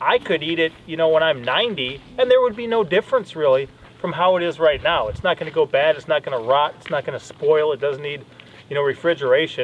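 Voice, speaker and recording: A man speaks fairly quickly. There is light noise in the background. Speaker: homestead vlogger. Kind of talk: casual vlog chat. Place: open country.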